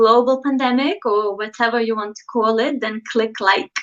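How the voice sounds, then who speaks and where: A woman speaks at a high pitch with a Lithuanian accent. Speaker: dating coach YouTuber. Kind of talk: livestream talk to viewers. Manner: casual, hesitant with fillers.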